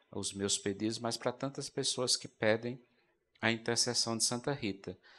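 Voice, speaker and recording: Fairly even intonation from a man with a fairly low pitch. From Brazil, Rio Grande do Norte (Currais Novos). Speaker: Augustinian friar, religious TV presenter. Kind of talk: religious talk show discussion. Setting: studio. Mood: warm, devotional, reflective. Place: stage. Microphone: handheld.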